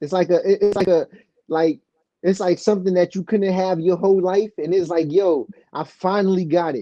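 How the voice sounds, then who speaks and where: The delivery moves at a moderate tempo. It carries a New York accent. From New York City. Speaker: rapper. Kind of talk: casual chat. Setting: studio. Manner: halting.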